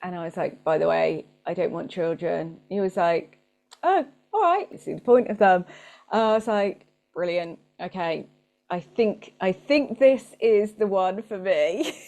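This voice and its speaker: The tone is dark and mellow. The speaker has a British accent. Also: woman, medium pitch for a woman, ordinary pitch variation, fairly slow pace. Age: 40s. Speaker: marketing coach and business owner. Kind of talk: casual interview chat.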